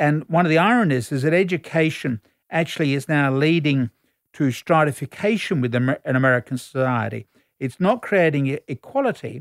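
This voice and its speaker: A man with an Australian accent, fairly high pitch and lively intonation at a fairly quick pace, in a dry, close sound with no echo on a very clean recording with a silent background. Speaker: academic commentator. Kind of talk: explanatory discussion. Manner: explanatory, conversational.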